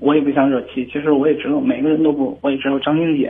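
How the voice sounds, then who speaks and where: A man at a fairly high pitch and a very fast pace, over noticeable background noise. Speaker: caller. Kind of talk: phone call. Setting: phone call. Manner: halting.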